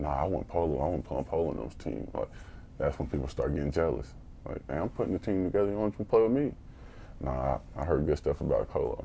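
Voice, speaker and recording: A man with an American accent talks at a very fast pace, his pitch very deep and low. His tone is dark and mellow, with vocal fry and lively intonation. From US Midwest (St. Joseph, Missouri). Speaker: podcast co-host, youth mentor. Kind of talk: casual chat.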